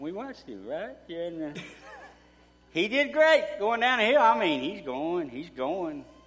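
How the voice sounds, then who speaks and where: A man in an East Texas accent speaks at a moderate pace, his high pitch moving in very wide swings. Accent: East Texas Southern. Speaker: war veteran. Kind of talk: testimony. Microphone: too quiet.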